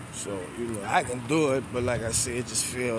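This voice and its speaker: Noticeable background noise runs under a man's medium-pitched voice, recorded dry with no echo. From New Orleans, Louisiana (12th Ward); Louisiana. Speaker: YouTuber vlogger; vlogger. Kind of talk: casual vlog monologue. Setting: outdoors. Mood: reflective, frank. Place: street. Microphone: phone near.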